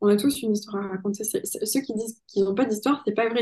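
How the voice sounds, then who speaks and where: Very fast speech in a dark, mellow, somewhat breathy tone. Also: woman. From southwestern France (Pau). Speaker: sales coach. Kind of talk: podcast interview.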